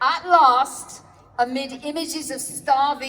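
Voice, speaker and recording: With a British accent and a high pitch, a woman speaks at a very slow pace with lively intonation over noticeable background noise. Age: 70s. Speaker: activist speaker. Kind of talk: protest speech. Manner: formal.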